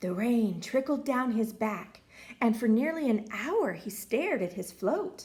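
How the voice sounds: Lively intonation in a natural reading voice.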